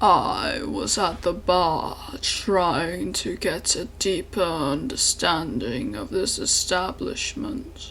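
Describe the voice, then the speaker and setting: Using a put-on character voice, a man speaks with a high pitch at a very slow pace with hardly any pauses, over clear background noise. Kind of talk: archaic gothic monologue. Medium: solo performance. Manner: formal, measured, somber.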